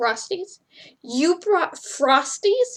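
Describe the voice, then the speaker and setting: A woman uses a put-on character voice at an extremely high pitch, with very wide pitch swings. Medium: read story. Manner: blunt, commanding, quick to anger.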